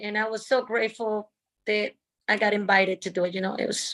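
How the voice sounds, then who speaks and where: A woman with a Dominican accent speaks at a fairly high pitch. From Dominican Republic. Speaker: stunt woman and actress. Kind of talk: interview.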